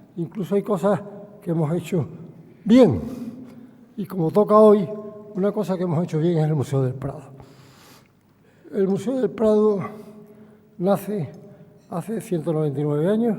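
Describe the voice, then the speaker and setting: A man's high-pitched voice at a moderate pace, with long, frequent pauses and noticeable background noise. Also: ordinary pitch variation. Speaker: chairman of a museum board. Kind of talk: formal introductory speech. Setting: lectern at public forum.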